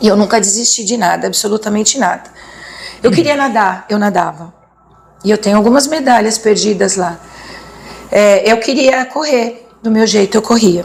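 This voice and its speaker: Against noticeable background noise, a woman with a fairly high pitch and ordinary pitch variation speaks at a moderate pace, broken by long, frequent pauses. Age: 60s. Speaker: motivational speaker and teacher. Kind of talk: interview testimony. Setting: studio. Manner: halting.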